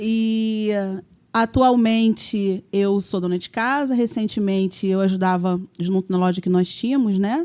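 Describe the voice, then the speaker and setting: Medium in pitch and dark, mellow in tone, a woman's voice comes through on a very clean recording with a silent background. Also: ordinary pitch variation, fairly slow pace. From Brazil, Rio de Janeiro suburbs (Vista Alegre). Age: 40s. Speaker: guest sharing testimony, homemaker. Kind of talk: testimony.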